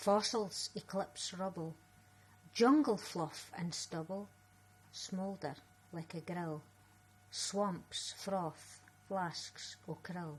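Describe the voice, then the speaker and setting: A woman talks very slowly in a Scottish accent, at a medium pitch. Her voice is somewhat breathy, with long, frequent pauses. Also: ordinary pitch variation. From Scotland. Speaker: writer and spoken word performer. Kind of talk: poetry reading.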